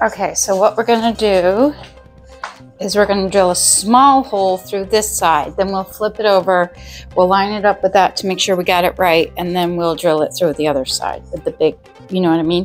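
Faint music plays in the background while a woman talks. She keeps a moderate pace with ordinary pitch variation. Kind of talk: tutorial. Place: home room.

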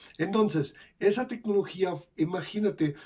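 A man with a German accent and a dark, mellow tone, at a fairly slow pace with ordinary pitch variation, against a quiet background. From Germany. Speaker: crypto educator and video creator. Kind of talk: tutorial. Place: home room. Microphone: webcam.

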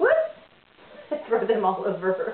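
Noticeable background noise sits under speech at a moderate pace. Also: woman. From United States. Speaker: business owner and home cook vlogger. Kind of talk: cooking tutorial. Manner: animated. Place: kitchen. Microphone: camera far.

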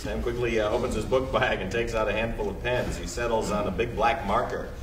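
Over clear background noise, a man talks at a fairly quick pace.

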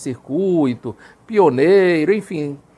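This is a man's voice. His pitch sits high. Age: 50s. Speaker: former Jehovah's Witness elder; Witness. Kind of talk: testimony. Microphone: lapel.

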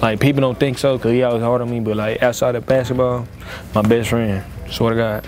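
A man at a fairly quick pace, his intonation monotone and flat, over noticeable background noise. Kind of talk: interview answer. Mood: warm, reflective about his father. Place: hall.

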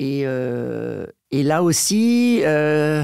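A man's lively intonation against a quiet background, the sound dry with no echo. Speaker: voice actor and dubbing director; voice actor. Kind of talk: interview answer. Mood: calm, reflective. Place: studio. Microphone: studio mic.

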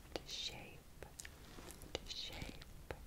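The pace of this woman's speech is very slow. Behind her, the background noise is loud. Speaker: ASMR artist. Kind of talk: ASMR roleplay, eye exam with personal attention. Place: home room.

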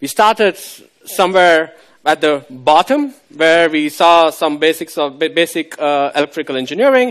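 A man with a fairly high pitch and ordinary pitch variation talks in an ordinary speaking voice against a quiet background. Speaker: guest lecturer. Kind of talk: lecture. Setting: lecture hall with students.

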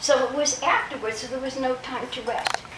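A woman talks at a moderate pace while loud background noise fills the recording. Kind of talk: motivational talk to a group. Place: home room. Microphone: camera far.

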